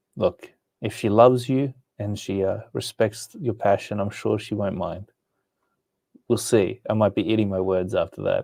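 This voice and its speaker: A man speaks with an American accent at a fairly low pitch and moderate pace. His dark, mellow tone has fairly even intonation and a dry, close sound with no echo. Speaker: comic art teacher. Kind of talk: live stream chat. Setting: live stream. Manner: relaxed.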